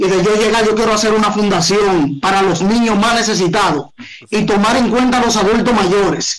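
In a Dominican accent, a man talks at a high pitch and a fairly quick pace. His loudness stays very even, with ordinary pitch variation. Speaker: urban music artist and dancer. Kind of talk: casual interview. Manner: animated, joking.

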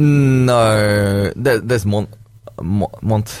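Noticeable background noise runs beneath a man's fairly low voice. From Malaysia. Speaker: podcast producer behind the scenes, guest. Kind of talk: casual chat.

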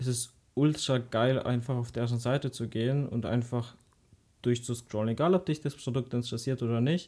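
The voice has a dark, mellow tone, with fairly even intonation at a moderate pace. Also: man. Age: young. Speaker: podcast co-host. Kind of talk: casual chat.

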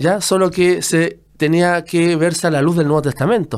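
In a very clean recording with a silent background, a man talks fairly slowly in a high-pitched voice. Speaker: Bible teacher. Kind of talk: teaching. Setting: radio studio.

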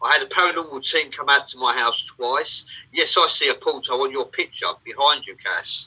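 Speaking with an English accent, a man keeps a moderate pace. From England. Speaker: livestream co-host. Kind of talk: casual chat.

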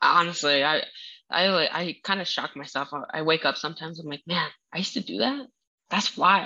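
A woman speaks at a fairly quick pace in a fairly low pitch with a bright, sharp tone. Her intonation is lively. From Minnesota, US. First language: not English. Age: 20s. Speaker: powerlifter guest. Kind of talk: casual interview chat. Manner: halting, searching for words.

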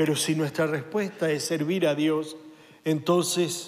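A man's fairly high voice at a very slow pace, with audible room echo. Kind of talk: sermon.

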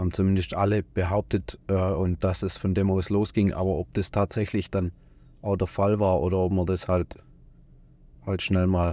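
A man with a very deep, low pitch and a dark, mellow tone, fairly even intonation, very even loudness, and a very clean recording with a silent background. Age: 30s. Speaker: tradesman, business owner. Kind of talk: casual chat. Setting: studio. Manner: hesitant, many fillers.

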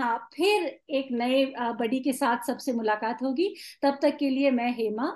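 A woman speaks in a high voice with ordinary pitch variation. The background is quiet. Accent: Tamil. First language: Tamil (speaking Hindi). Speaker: podcast host. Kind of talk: casual chat.

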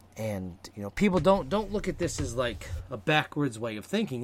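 An animated man talks at a fairly quick pace with vocal fry and very wide pitch swings. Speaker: podcast host. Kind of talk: casual chat podcast. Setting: online live stream. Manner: rambling, disfluent, animated.

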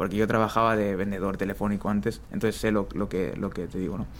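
Keeping his intonation fairly even, a man speaks at a very fast pace in a fairly low pitch. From Spain. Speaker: street footballer. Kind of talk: interview. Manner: casual.

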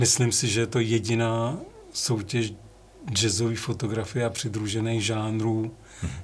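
This man's fairly slow speech carries audible room echo. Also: medium pitch for a man, fairly even intonation. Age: old. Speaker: music photographer. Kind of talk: interview.

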